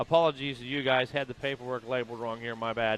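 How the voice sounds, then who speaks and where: A man rattles along very fast while his intonation stays fairly level. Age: 50s. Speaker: race commentator. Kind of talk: live commentary. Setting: outdoors at race track.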